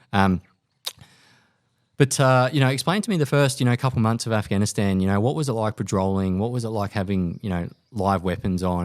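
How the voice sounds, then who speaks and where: A man with an Australian accent and ordinary pitch variation, on a very clean recording with a silent background. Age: 30s. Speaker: podcast host and army veteran. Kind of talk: interview. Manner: halting, many fillers.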